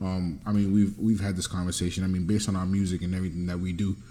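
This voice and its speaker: A man's very deep, low voice comes through with a dark, mellow tone and monotone, flat intonation. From Dominican heritage. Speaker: podcast co-host. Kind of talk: casual chat.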